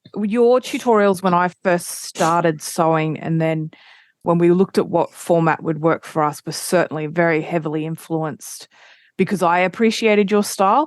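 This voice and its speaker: The voice moves at a moderate pace with ordinary pitch variation. The sound is dry and close with no echo, over a quiet background. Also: woman, fairly low pitch for a woman. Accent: Australian. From Australia. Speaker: quilting podcast host. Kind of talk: casual chat.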